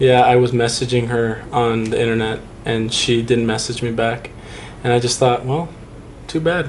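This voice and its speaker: A man's medium-pitched voice at a moderate pace, with fairly even intonation and noticeable background noise. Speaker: grandson interviewing his grandfather. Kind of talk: casual family conversation.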